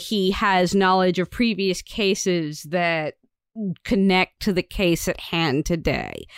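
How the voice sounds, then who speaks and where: In a very clean recording with a silent background and a dry, close sound with no echo, a woman with an ordinary speaking voice talks at a fairly slow pace and a medium pitch. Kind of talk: casual podcast chat. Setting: home recording, cat outside door.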